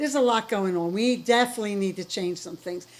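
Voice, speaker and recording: With an American accent, a woman speaks at a medium pitch with ordinary pitch variation. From US East Coast. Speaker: interviewer. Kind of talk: interview. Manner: loud; animated.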